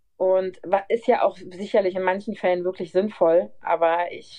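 A woman with a plain, everyday voice speaks at a moderate pace, medium in pitch, with fairly even intonation. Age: 30s. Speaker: nurse. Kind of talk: casual interview. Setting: remote call.

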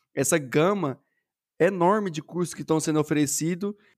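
A man speaks in a plain, everyday voice with a fairly high pitch, ordinary pitch variation and a moderate pace. The sound is dry and close with no echo, on a very clean recording with a silent background. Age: 20s. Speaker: software developer and streamer. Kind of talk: casual chat.

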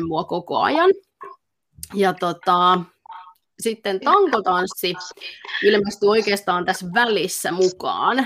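A woman speaks at a medium pitch with ordinary pitch variation, moving at a very slow pace broken by long, frequent pauses. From Finland, Pirkanmaa (Kangasala). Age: 30s. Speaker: dance instructor. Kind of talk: interview.

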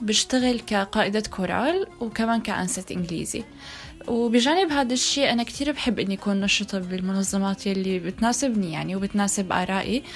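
Music in the background behind a woman's medium-pitched voice, with ordinary pitch variation at a moderate pace. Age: 20s. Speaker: choir leader. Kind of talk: casual chat.

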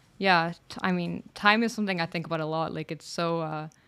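Using a normal speaking voice, a woman talks at a fairly quick pace and fairly low pitch on a very clean recording with a silent background. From Canada. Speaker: content creator. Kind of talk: casual chat.

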